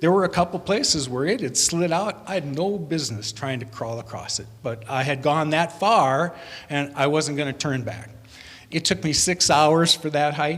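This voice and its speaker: A man with an American accent talks at a moderate pace, his fairly high pitch showing ordinary variation. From US Midwest. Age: 60s. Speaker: conference speaker. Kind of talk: storytelling talk.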